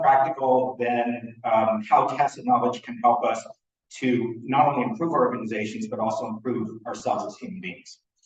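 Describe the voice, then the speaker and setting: A somewhat breathy male voice at a moderate pace, full of very wide pitch swings. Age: 60s. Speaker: conference speaker on knowledge management. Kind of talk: conference talk read from script. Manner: halting, many fillers.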